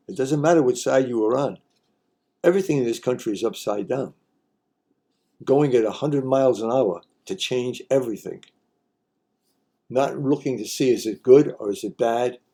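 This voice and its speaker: Speaking at a moderate pace with long, frequent pauses, a man with an American accent has a dark, mellow tone, medium pitch and ordinary pitch variation. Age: 80s+. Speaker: commentary vlogger. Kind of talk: opinion commentary, partly read from notes. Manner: impassioned, halting with repetitions.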